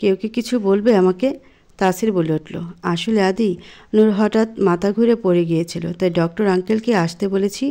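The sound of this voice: The unforced reading voice shows ordinary pitch variation.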